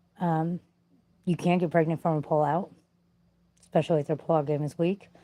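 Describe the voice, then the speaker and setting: A woman with a fairly low pitch and a dark, mellow tone talks at a fairly quick pace. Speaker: vlogger sharing life stories. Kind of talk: casual personal storytelling. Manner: conversational with frequent fillers.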